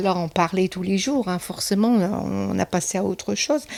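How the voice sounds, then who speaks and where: At a fairly slow pace, a woman speaks in a medium pitch with a dark, mellow tone. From northern France, Somme (Picardy). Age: 60s. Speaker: retired office worker, interviewee. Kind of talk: interview testimony. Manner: hesitant, many fillers.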